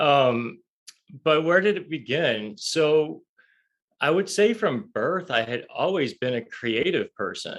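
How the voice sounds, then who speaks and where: A man with an American accent, fairly high-pitched, speaking at a very slow pace with very wide pitch swings. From US South. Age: 40s. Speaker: author and spiritual coach. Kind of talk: interview.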